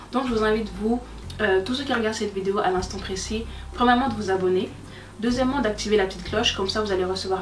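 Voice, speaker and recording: Someone talks at a very fast pace with fairly even intonation. There is noticeable background noise and audible room echo. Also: woman. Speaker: YouTuber. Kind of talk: channel presentation vlog.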